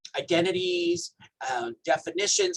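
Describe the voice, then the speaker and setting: Someone with a Hawaiian accent is heard in a dry, close sound with no echo. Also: man. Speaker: health educator. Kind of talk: training presentation.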